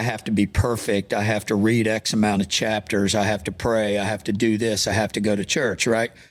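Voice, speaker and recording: On a very clean recording with a silent background, a man talks in a plain, everyday voice. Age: 60s. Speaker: pastor. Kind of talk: interview conversation.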